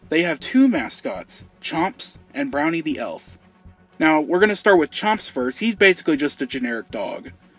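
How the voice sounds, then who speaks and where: Music plays behind a man with a high-pitched voice. He talks at a moderate pace, his pitch swinging very widely. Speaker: YouTube host. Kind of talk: casual commentary to camera.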